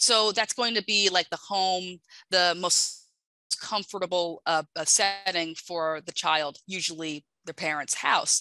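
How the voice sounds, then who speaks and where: A woman speaks in a plain, everyday voice at medium pitch, fairly slow and with fairly even intonation, the sound dry and close with no echo. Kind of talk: webinar presentation.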